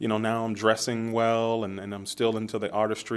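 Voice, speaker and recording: A man with an American accent uses an ordinary speaking voice at a moderate pace and fairly low pitch, in a very clean recording with a silent background. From US Midwest, Youngstown, Ohio. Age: 30s. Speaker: entrepreneur, market founder. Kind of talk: casual interview.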